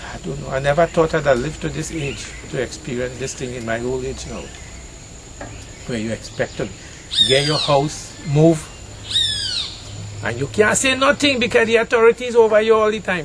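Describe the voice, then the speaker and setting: A man with a Trinidadian accent talks at a moderate pace in a fairly high voice, with very wide pitch swings, big swings in loudness, and long, frequent pauses. Noticeable background noise can be heard. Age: 60s. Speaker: farmer. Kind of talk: emotional plea, outdoors conversation. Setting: outdoors. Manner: distressed, pleading.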